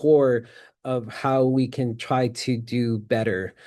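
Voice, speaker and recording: The background is quiet as a man speaks at a medium pitch. He has an American accent and a dark, mellow tone. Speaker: peacebuilding practitioner, conference presenter. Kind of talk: conference presentation.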